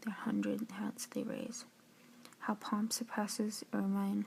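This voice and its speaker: The pace is fairly slow. The voice is soft-spoken. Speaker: student reading and analyzing poetry. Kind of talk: poetry reading with informal analysis, ASMR.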